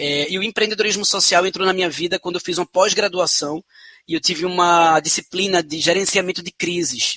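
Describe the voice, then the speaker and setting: In a Pernambuco accent, a man with a high pitch and a bright, sharp tone speaks at a moderate pace, the sound dry and close with no echo. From Brazil, Pernambuco (Recife). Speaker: social entrepreneur. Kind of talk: interview. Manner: hesitant fillers.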